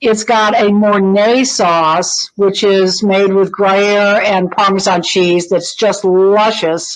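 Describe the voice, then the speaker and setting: The speech moves at a very slow pace with hardly any pauses. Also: woman, medium pitch for a woman, fairly even intonation, very even loudness. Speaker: food columnist. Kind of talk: casual chat.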